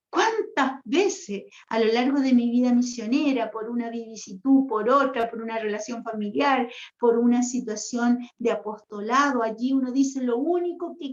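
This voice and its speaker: A woman with a high pitch speaks in an animated tone at a fairly slow pace, with ordinary pitch variation. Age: 60s. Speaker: religious sister, retreat leader. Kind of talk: spiritual teaching talk. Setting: online livestream. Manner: animated, conversational.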